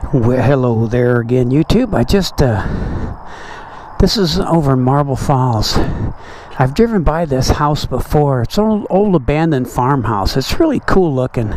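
The sound is dry, with no echo at all. The pace is moderate over light background noise. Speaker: motorcycle vlogger. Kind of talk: casual vlog chat. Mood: relaxed, mildly annoyed by mosquitoes. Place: motorbike.

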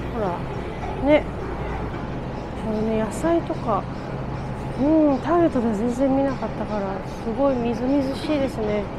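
Against loud background noise, a woman speaks at a moderate pace with long, frequent pauses. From Japan. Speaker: poet. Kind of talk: casual vlog talk to camera. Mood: relaxed, chatty. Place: market. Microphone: phone near.

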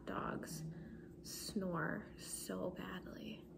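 A soft-spoken woman talks with noticeable background noise behind her. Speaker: beauty vlogger. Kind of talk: casual vlog chat. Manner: soft-spoken ASMR murmur. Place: home room. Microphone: phone near.

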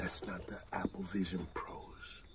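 The pace is fairly slow. A man whispers.

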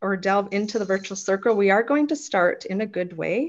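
Ordinary pitch variation runs through this woman's speech. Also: quiet background. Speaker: host. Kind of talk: meeting host introduction. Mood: warm, respectful. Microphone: video call.

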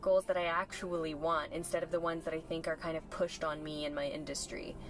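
Very fast speech with a dry sound and no echo, faint music in the background. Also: woman. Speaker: fitness content creator. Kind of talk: casual vlog chat. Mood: reflective, candid. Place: car. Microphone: camera far.

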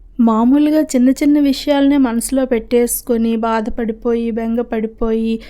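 The tone is dark and mellow, delivered with monotone, flat intonation. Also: woman. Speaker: homemaker vlogger. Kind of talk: heartfelt thanks to viewers; vlog voice-over.

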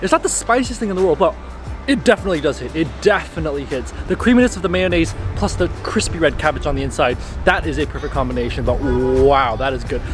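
A man at a very fast pace, dry sound with no echo, and faint music in the background. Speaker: food vlogger. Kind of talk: casual vlog chat. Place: street. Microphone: phone near.

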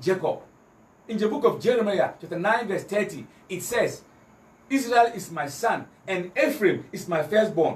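With audible room echo, a man talks at a moderate pace using lively intonation. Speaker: Islamic preacher giving a lecture. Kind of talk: religious lecture with Bible quotations, comparing Christianity and Islam. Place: home room.

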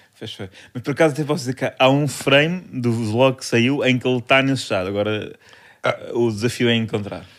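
An ordinary speaking voice from a man, medium in pitch, fairly quick, with ordinary pitch variation. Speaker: comedy podcast co-host. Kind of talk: casual chat.

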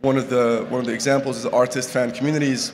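A man at medium pitch in a monotone, flat delivery, over light background noise. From Morocco. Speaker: startup co-founder; conference presenter. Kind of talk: conference talk. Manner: halting. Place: hall. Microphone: podium.

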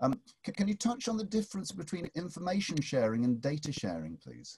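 A somewhat breathy man with a northern English accent, a dark, mellow tone, very wide pitch swings and a fairly quick pace. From England. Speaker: professor. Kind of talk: webinar introduction and Q&A. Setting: video call. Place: home room. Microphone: video call.

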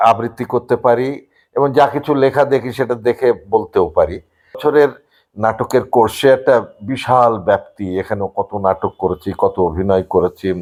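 A man speaks at a medium pitch with ordinary pitch variation and very even loudness, in an unremarkable speaking voice. The recording is very clean, with a silent background. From Bangladesh, Khulna. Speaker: recitation artist. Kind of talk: interview.

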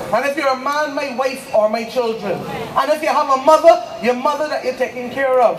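A woman speaks at a high pitch. There is audible room echo and light background noise. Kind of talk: political rally speech. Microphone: pa.

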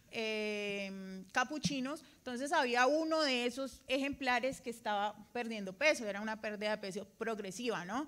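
This is a woman with a high pitch. Her pitch variation is ordinary. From Colombia. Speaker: veterinarian audience member; audience member. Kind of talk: audience question. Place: hall.

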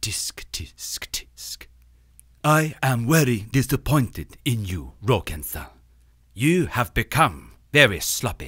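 On a very clean recording with a silent background, a man uses a cartoonish character voice at medium pitch and a fairly slow pace. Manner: slow, formal, menacing.

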